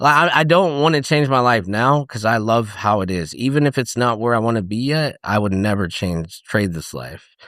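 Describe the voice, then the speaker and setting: On a very clean recording with a silent background, a man with an American accent and lively intonation talks at a moderate pace in an ordinary speaking voice. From US South, Rome, Georgia. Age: 30s. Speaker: comedian. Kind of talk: casual chat.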